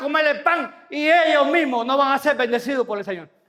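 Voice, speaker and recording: A man talks fairly quickly in an extremely high, bright, sharp voice with an animated tone. His voice is raised and projected, with ordinary pitch variation. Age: 60s. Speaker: pastor. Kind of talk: sermon.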